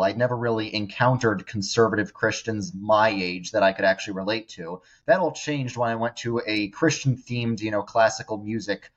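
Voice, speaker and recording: A man with an American accent, a normal speaking voice, medium pitch, ordinary pitch variation and a fairly quick pace. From New York suburbs. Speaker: social media influencer. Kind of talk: interview testimony.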